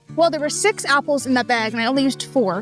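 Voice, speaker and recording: Someone with an American accent talks at a very fast pace, the intonation lively. Music plays in the background. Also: woman. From United States. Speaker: home cook. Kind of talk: casual cooking tutorial to camera. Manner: folksy, friendly.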